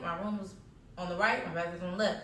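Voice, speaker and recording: A woman in an animated tone, with audible room echo. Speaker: storytime vlogger. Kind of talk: storytime monologue.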